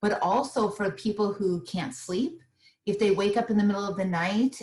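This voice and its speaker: A somewhat breathy woman's voice. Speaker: small business owner and meditation teacher. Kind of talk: interview. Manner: soothing.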